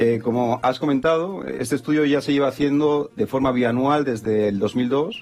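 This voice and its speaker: Over music in the background, a man with a Spanish accent speaks at medium pitch with ordinary pitch variation. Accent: Spanish (Spain). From Spain. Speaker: business consultant. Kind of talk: TV business interview. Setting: studio.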